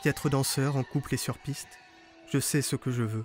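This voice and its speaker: With music in the background, the speaker keeps fairly even intonation at a moderate pace. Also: man. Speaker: poet narrator. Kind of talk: poetic narration. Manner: a bit quiet.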